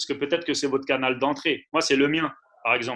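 A man's voice comes across with a bright, sharp tone. He has a fairly high pitch and fairly even intonation. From Paris region (Ivry). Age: 30s. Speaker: handball coach. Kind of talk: interview.

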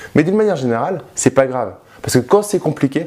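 Talking at a very fast pace, a man uses lively intonation and an animated tone. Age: 30s. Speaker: youtuber, former banker, property investor. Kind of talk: vlog monologue to camera. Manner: casual, animated.

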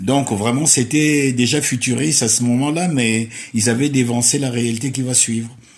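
Medium-pitched male speech at a moderate pace with ordinary pitch variation, in audible room echo. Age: 70s. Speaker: retiree. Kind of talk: interview. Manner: halting.

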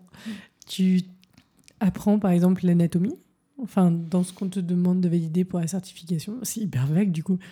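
Speaking at a fairly quick pace yet with long, frequent pauses, a woman uses a medium-pitched, dark, mellow, somewhat breathy voice with fairly even intonation. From Paris. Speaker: podcast host and coach. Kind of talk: casual interview.

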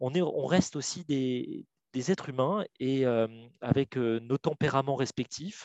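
A man speaks at a fairly slow pace with a medium pitch. The sound is dry and close with no echo, over a quiet background. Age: 40s. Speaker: legal director in a tech company. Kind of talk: interview. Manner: halting, many repetitions and fillers; talkative.

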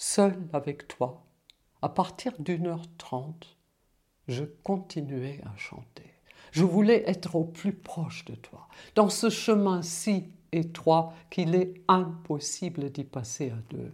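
A woman with a fairly low, somewhat breathy voice speaks at a very slow pace. Her intonation is lively, and her loudness swings widely. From Germany. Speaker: musician. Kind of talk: reading aloud.

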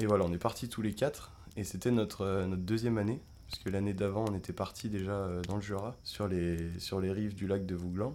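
This man talks at a fairly quick clip in a fairly low voice, his intonation fairly even. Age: 20s. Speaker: children's activity leader. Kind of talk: travel storytelling. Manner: halting, many fillers and repetitions.

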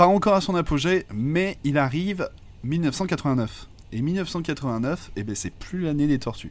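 A man speaks at a very slow pace with a fairly high pitch. His intonation is lively. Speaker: comics podcast co-host. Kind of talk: casual chat.

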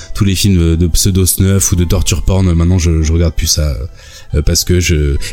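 Over noticeable background noise, a man talks at a moderate pace with a very deep, low pitch, fairly even intonation and very even loudness. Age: 40s. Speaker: YouTube video maker. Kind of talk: casual chat.

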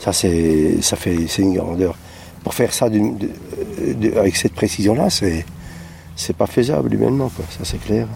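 Noticeable background noise sits behind a man who talks fairly slowly. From southern Alsace. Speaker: visitor at a crop circle. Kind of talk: vox pop interview. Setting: outdoors in a wheat field.

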